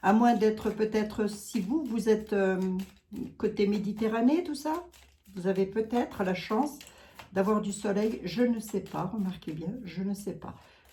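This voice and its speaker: A woman in a strong Lorraine accent speaks fairly slowly at a fairly high pitch with ordinary pitch variation. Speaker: psychic / clairvoyant. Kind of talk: casual chat, psychic channeling livestream. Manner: chatty, many fillers.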